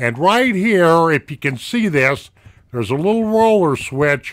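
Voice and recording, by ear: A man speaks at a slow pace with lively intonation. His tone is fairly bright.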